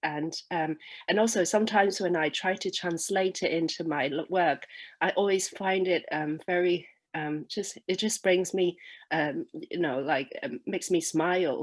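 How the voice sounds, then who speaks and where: A woman speaks in a Cantonese accent against a quiet background. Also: fairly low pitch for a woman, ordinary pitch variation, moderate pace. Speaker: poet. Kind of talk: casual talk introducing a poem; poetry reading. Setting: online festival. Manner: halting, many fillers.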